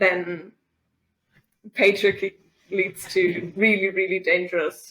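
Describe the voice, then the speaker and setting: A woman's bright, sharp voice with a German accent, very slow and flat in a monotone, broken by long, frequent pauses. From Germany. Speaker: feminist activist. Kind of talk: podcast interview. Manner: halting, many fillers.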